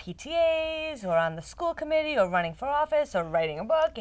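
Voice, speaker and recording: In a very clean recording with a silent background, a woman with a strong Rhode Island accent speaks with very wide pitch swings. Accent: thick Rhode Island. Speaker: talk show host. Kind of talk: interview. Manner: fast.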